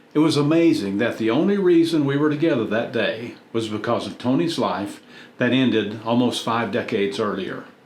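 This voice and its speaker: With audible room echo, a man talks at a moderate pace in a medium pitch, his intonation lively. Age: 70s. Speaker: YouTube content creator. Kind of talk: personal reflective narration.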